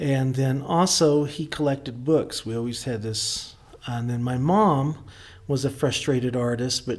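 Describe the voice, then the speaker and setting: Speaking with an Oklahoma accent, a man uses a medium pitch and ordinary pitch variation. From Oklahoma (rural, near Bristow). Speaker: artist. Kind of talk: interview conversation.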